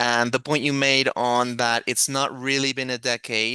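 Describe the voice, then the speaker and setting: A man with a non-native accent and a bright, sharp tone at medium pitch, dry and close with no echo, over a quiet background. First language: not English. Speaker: moderator. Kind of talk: panel moderation. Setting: video call.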